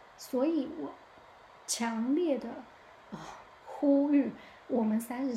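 Amid noticeable background noise and audible room echo, a woman speaks in an animated tone at a fairly slow pace with a high voice. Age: 30s. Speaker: podcast host. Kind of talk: casual monologue.

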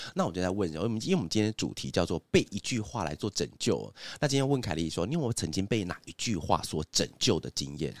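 A man's very deep, low voice with vocal fry and very wide pitch swings, at a very fast pace, in a very clean recording with a silent background. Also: hardly any pauses, dry, close sound with no echo. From Taiwan, Hsinchu (Zhudong). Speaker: podcast host, advertising agency boss. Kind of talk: casual chat.

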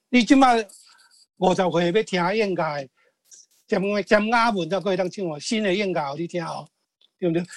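A man with a high pitch speaks with long, frequent pauses and ordinary pitch variation. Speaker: songwriter. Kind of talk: interview. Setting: video call.

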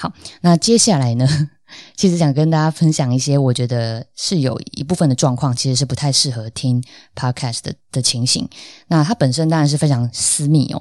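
At a moderate pace, a woman speaks with a very deep, low pitch, ordinary pitch variation and a dark, mellow tone, on a very clean recording with a silent background. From Taiwan, Tainan. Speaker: podcast host. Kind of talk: solo podcast monologue. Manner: casual, with frequent fillers.

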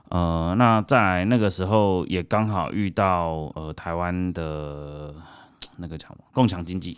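Recorded very cleanly with a silent background, a man with a very deep, low pitch speaks at a very slow pace, his loudness swinging widely while his pitch varies in an ordinary way. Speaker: red bean cake shop owner. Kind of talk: interview. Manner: halting, many fillers and repetitions.

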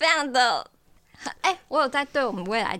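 A woman projects a raised voice at a high pitch. Her intonation is lively and her pace moderate. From Taiwan, Taichung. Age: 20s. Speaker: dating show guest, university student. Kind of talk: casual chat.

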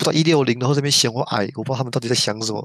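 A man speaks at medium pitch. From Taiwan, New Taipei. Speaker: podcast co-host, university student. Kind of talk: casual chat.

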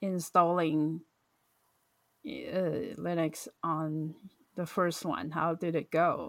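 A woman's fairly low, fairly even voice with a non-native accent, very slow with long, frequent pauses, in a very clean recording with a silent background. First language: not English. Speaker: podcast host. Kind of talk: casual chat. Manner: halting.

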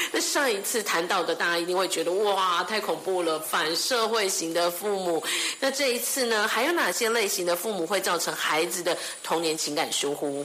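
A woman talks at a moderate pace with medium pitch, ordinary pitch variation and very even loudness. The room echo is audible and there is noticeable background noise. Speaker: radio host. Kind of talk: radio interview.

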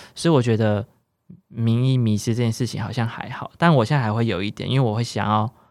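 A man speaks in a normal speaking voice at a medium pitch and fairly quick pace, with fairly even intonation. The recording is very clean, with a silent background. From central Taiwan. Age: 20s. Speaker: cancer patient. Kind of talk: interview.

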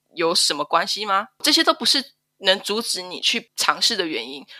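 A woman speaks with a Taiwanese accent. Her pace is fairly quick. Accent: Taiwanese Mandarin. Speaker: stay-at-home mother. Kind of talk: personal testimony interview.

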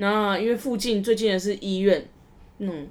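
A woman's normal speaking voice, with fairly even intonation at a moderate pace. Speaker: podcast host. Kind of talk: casual chat.

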